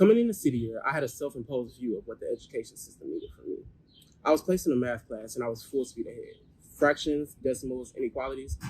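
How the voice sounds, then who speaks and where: Very fast and with big swings in loudness, a man talks in an American accent. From US South, Louisiana (Alexandria). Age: 20s. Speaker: volunteer school mentor. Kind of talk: prepared personal testimony.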